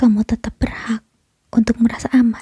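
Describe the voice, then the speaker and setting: A woman with a fairly high pitch speaks fairly slowly in a soothing, dark and mellow tone, her intonation flat and monotone, the sound dry and close with no echo. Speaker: ASMR creator playing a comforting mother figure. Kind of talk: ASMR comfort roleplay. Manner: soft, whispered, soothing.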